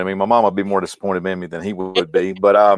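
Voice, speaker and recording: With a Mississippi accent, a man speaks at a fairly low pitch in a very clean recording with a silent background and a dry, close sound with no echo. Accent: Southern US (Mississippi). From US South, Mississippi. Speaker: medical trainer and company founder. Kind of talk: casual interview chat. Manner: halting, repeats words.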